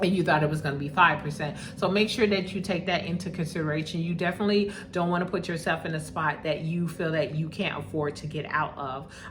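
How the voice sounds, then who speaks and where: Amid noticeable background noise, a woman with a fairly low voice talks very fast with hardly any pauses and fairly even intonation. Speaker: vlogger buying property abroad. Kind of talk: casual vlog monologue.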